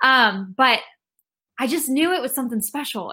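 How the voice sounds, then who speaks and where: In an American accent, a woman speaks in a raised, projected voice with a high pitch, ordinary pitch variation and a bright, sharp tone, on a very clean recording with a silent background. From Texas, Rockwall near Dallas. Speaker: singer-songwriter. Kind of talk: interview.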